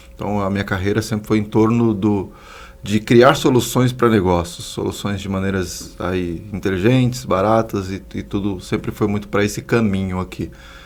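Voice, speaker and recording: A man with a plain, everyday voice speaks at a fairly low pitch and a moderate pace, with ordinary pitch variation. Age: 30s. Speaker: social entrepreneur, institute founder. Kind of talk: podcast interview.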